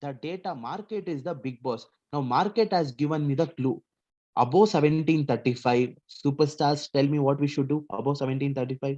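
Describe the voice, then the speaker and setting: Here a man speaks fairly quickly at a fairly high pitch, with ordinary pitch variation. His tone is dark and mellow. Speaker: stock market trainer. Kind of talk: lecture. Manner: animated.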